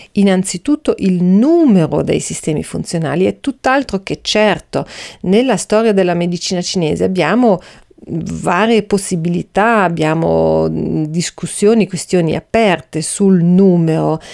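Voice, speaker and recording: A woman's fairly low-pitched voice with a dark, mellow tone, ordinary pitch variation and a fairly slow pace. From Austria. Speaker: podcast host, Chinese medicine practitioner. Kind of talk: educational monologue. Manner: hesitant, many fillers.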